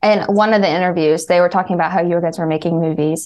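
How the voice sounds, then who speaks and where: With a slight Appalachian accent, a woman speaks at a very fast pace. Her fairly low voice has monotone, flat intonation. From West Virginia. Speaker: fan.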